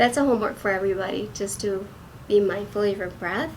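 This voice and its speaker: Both audible room echo and noticeable background noise can be heard in this clip. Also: woman. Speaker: acupuncturist. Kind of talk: wellness talk.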